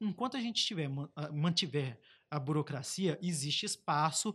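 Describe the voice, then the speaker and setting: On a very clean recording with a silent background, a man with an unremarkable speaking voice talks at a moderate pace, his fairly high pitch carrying lively intonation. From Brazil, Baixada Fluminense (Rio de Janeiro). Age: 30s. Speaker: digital innovation advocate, former government official. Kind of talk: casual podcast interview.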